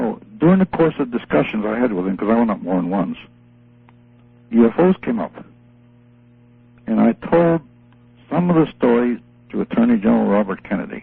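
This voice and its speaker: With music in the background, a man speaks in very wide pitch swings, leaving long, frequent pauses. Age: 80s+. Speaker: retired army colonel. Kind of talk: radio interview. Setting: phone call.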